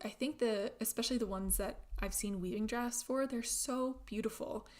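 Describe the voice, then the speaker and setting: Ordinary pitch variation and a moderate pace from a normal speaking voice with an American accent. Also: woman. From Germany (Berlin) and Florida, US. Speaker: knitting livestreamer. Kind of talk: casual chat livestream. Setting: live stream. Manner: chatty, with frequent filler words and restarts.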